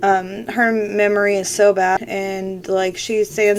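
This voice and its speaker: Noticeable background noise surrounds a woman speaking at medium pitch. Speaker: podcaster with a health condition. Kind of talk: casual personal update. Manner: halting, many fillers.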